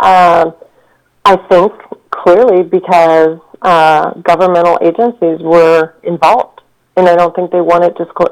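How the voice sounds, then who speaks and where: A woman's fairly low pitch at a fairly slow pace, in an unremarkable speaking voice. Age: 40s. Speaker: researcher and owner of a historic gun. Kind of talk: interview.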